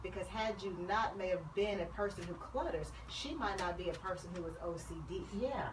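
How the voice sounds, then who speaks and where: A woman speaks at a moderate pace with hardly any pauses. Audible room echo and noticeable background noise surround her. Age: 30s. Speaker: psychologist. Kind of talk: casual chat.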